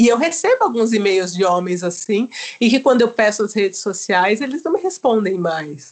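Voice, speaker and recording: Using a plain, everyday voice, a woman talks at a moderate pace and fairly high pitch with lively intonation. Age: 40s. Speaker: psychologist and storytelling podcaster. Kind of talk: casual chat.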